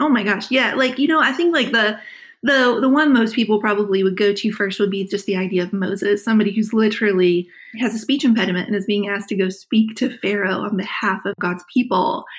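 With an American accent, a woman talks very fast at a fairly high pitch, somewhat breathy, with ordinary pitch variation. The recording is very clean and the background silent. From West Virginia. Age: 40s. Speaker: author. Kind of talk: interview conversation. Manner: animated.

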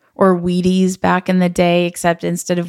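In a very clean recording with a silent background, a woman with an American accent speaks at a moderate pace in a flat monotone. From Los Angeles. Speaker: podcast host. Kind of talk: casual interview.

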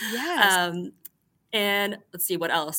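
A woman with an American accent speaks at a fairly low pitch with a bright, sharp tone. Her pace is fairly slow and her intonation fairly even, in a very clean recording with a silent background. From North Carolina, Greensboro. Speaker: chef. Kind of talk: interview.

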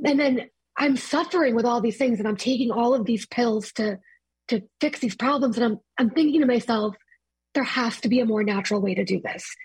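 A woman speaks at a fairly quick pace with a fairly high pitch and ordinary pitch variation. It is a plain, everyday voice. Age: 20s. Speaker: marketing director. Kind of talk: personal testimony.

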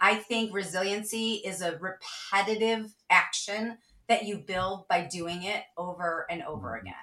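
This woman speaks in a Midwestern American accent. Her voice is the only one heard. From US Midwest, Cleveland, Ohio. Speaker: sales leader and author. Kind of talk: interview.

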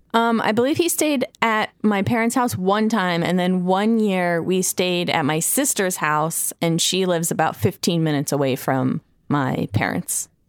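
A woman of medium pitch talks at a moderate pace with very wide pitch swings, very even loudness and hardly any pauses. The recording is very clean and dry, with a silent background and a close sound with no echo. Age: 30s. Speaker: litigant in a podcast mock court. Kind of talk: casual chat.

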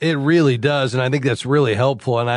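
A man's plain, everyday voice, medium in pitch, over a quiet background. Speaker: radio host of call-in finance show. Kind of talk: call-in radio show and interview. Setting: studio.

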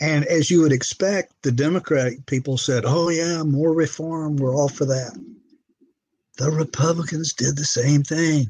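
A man speaks at a fairly slow pace in a somewhat breathy, fairly high voice. His intonation stays fairly even and his loudness very even. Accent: American. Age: 70s. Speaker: retired judge. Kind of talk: interview.

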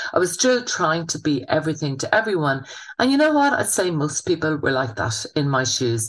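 Against a quiet background, a woman with a Munster accent talks at a moderate pace, her fairly low pitch swinging very widely. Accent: southern Irish (Waterford). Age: 50s. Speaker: chef and business owner. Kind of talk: interview. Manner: casual, chatty with fillers.

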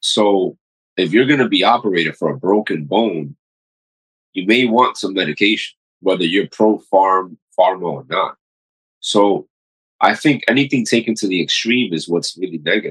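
A man's fairly low voice, broken by long, frequent pauses. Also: ordinary pitch variation, moderate pace. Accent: New York. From New York City, Queens. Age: 40s. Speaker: paramedic and physician. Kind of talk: casual interview.

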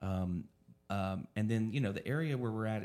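Here is a man with an American accent and a normal speaking voice. He talks fairly fast at a fairly low pitch. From Oklahoma. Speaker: dispensary owner. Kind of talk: casual chat.

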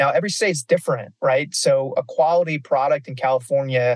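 A man talks at a moderate pace with fairly even intonation and a somewhat breathy quality. The sound is dry and close, with no echo. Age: 40s. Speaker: cannabis industry executive. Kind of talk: interview. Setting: on the road.

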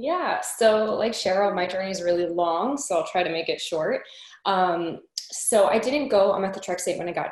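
At a moderate pace and medium pitch, a woman speaks with ordinary pitch variation against noticeable background noise. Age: 20s. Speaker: arthritis patient. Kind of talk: casual group chat.

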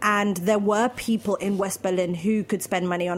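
A woman with a British accent talks at medium pitch and a moderate pace. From London, England. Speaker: food event founder. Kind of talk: casual interview chat.

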